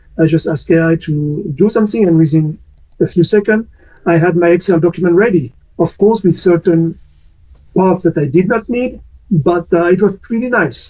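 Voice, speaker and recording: In a French accent, a man speaks at a moderate pace with a high pitch and a dark, mellow tone. Long, frequent pauses break up his speech. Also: ordinary pitch variation. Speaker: community discussion moderator. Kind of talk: casual discussion on online community talk. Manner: hesitant, many fillers.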